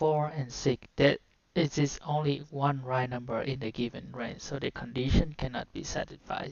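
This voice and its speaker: A woman with a Vietnamese accent speaks in a very deep, low voice, her intonation fairly even. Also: moderate pace. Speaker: coding tutorial streamer. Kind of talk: live coding walkthrough. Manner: halting.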